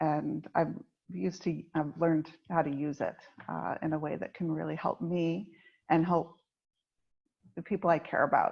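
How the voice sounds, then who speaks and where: In an American accent, a woman with a very deep, low pitch and vocal fry speaks with ordinary pitch variation and long, frequent pauses. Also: moderate pace. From United States. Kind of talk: podcast interview.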